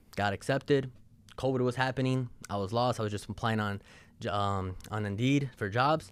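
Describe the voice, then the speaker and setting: With ordinary pitch variation, a male voice is heard speaking. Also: very clean recording, silent background. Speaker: entrepreneur. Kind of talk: podcast interview. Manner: fast.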